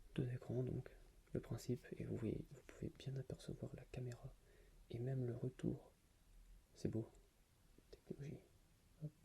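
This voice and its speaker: Whispering and soft-spoken, a man talks at a fairly slow pace with long, frequent pauses. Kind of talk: ASMR object show-and-tell. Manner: soft-spoken, whispered.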